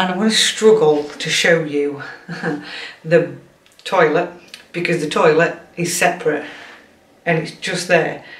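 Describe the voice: A woman speaks at a fairly low pitch for a woman. Room echo can be heard around her voice.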